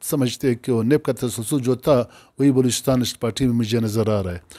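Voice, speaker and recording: The voice has a dark, mellow tone over a quiet background. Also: man. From Pakistan. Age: 60s. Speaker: provincial governor, politician; politician interviewee. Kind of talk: interview. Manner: halting. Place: home room.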